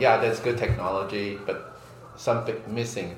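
Audible room echo and noticeable background noise surround the voice. A man speaks at a medium pitch. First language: Mandarin Chinese. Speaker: podcast host. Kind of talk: interview. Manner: halting English.

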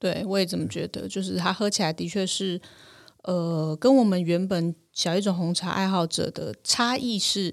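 Recorded very cleanly against a silent background, a woman talks at a moderate pace with medium pitch and ordinary pitch variation. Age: 40s. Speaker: tea podcast host. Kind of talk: casual chat.

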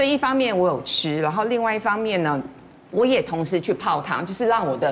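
The pitch swings very widely over noticeable background noise. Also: woman. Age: 50s. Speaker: media personality. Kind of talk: casual chat.

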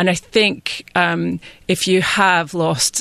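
Speaking with a Scottish accent over a quiet background, a woman has a fairly low pitch. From west of Scotland. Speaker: freelance journalist. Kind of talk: panel discussion.

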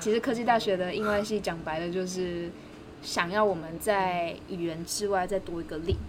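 A woman's medium-pitched voice comes through audible room echo and noticeable background noise. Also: fairly even intonation, moderate pace. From Taiwan, Taichung. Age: 20s. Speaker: graduate student and language teacher. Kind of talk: casual interview. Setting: outdoors.

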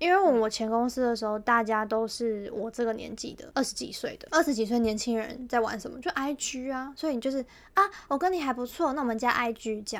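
A woman talks at a high pitch and a fairly quick pace. Her pitch varies in an ordinary way, and her loudness swings widely. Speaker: podcast co-host. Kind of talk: casual chat.

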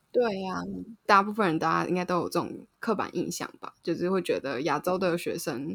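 A woman with a Taiwanese accent, fairly low in pitch, with vocal fry, at a fairly quick pace. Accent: Taiwanese Mandarin. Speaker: podcast co-host. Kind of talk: casual chat.

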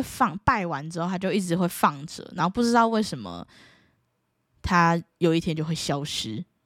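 Speaking with a Taiwanese accent at a moderate pace, a woman with a fairly low pitch and lively intonation is heard in a very clean recording with a silent background and a dry, close sound with no echo. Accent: Taiwanese Mandarin. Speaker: podcast host. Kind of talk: casual solo chat. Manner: animated.

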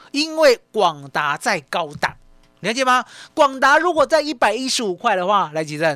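A man with a bright, sharp tone and a high pitch uses a raised, projected voice with very wide pitch swings at a moderate pace in a very clean recording with a silent background. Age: 50s. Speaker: stock market analyst. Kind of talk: radio market commentary.

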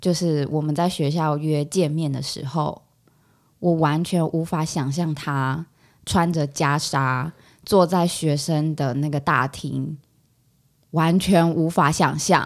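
Very deep and low in pitch, a woman speaks at a very slow pace with fairly even intonation in a very clean recording with a silent background. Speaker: psychology graduate student. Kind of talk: casual chat.

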